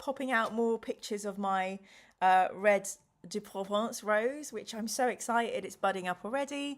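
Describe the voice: With ordinary variation in pitch, the text is read aloud plainly.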